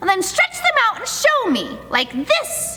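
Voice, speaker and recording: In a put-on character voice, a woman squeaks at an extremely high pitch, moving fairly slowly through very wide pitch swings. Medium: read story.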